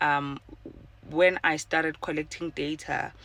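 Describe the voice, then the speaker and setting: A woman speaks at a very slow pace. Her very deep, low voice is monotone and flat. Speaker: podcaster. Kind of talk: casual personal monologue. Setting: in a car. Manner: halting, many fillers.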